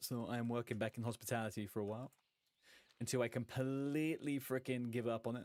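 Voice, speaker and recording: At a fairly quick pace, a man with an American accent speaks at medium pitch with fairly even intonation. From London, England (Irish community influence). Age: 30s. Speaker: gaming streamer. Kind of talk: casual live stream chat. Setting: live stream. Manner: casual, swearing banter.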